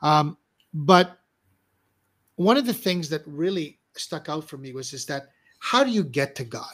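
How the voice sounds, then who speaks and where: The speech moves at a fairly slow pace with lively intonation, big swings in loudness, and long, frequent pauses over a quiet background. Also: man, fairly high pitch for a man. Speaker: show host, coach. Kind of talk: casual livestream interview. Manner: animated. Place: home room.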